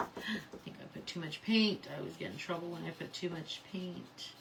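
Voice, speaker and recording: There is noticeable background noise and audible room echo as a woman talks in a fairly low pitch with ordinary pitch variation. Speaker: craft tutorial host. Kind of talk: live crafting tutorial. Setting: livestream. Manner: casual, chatty.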